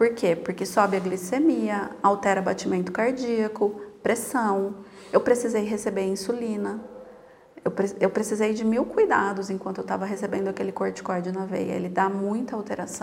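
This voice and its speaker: A woman at a moderate pace, fairly even in intonation, over noticeable background noise. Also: medium pitch for a woman. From Brazil, interior of São Paulo state (Piracicaba). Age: 40s. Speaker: psychologist living with multiple sclerosis. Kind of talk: interview, casual chat.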